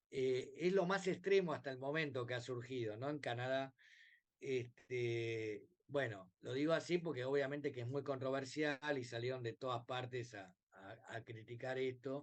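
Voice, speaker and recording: Speaking fairly slowly in a Rioplatense accent, a man uses medium pitch and ordinary pitch variation. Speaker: bioethics professor. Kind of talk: lecture. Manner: hesitant with many fillers.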